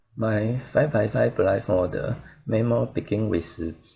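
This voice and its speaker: Speaking at a very slow pace, a man talks with a Chinese accent. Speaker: speedcuber. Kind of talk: tutorial.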